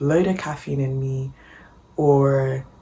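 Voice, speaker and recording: Through noticeable background noise, a woman speaks in a very deep, low voice. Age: 20s. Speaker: vlogger. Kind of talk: vlog voiceover. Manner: low energy; casual, filler-heavy.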